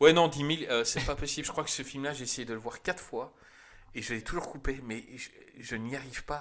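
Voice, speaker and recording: The recording is very clean with a silent background, and the man's pitch varies in an ordinary way. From Belgium. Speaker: film podcast host. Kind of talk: casual chat. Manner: animated.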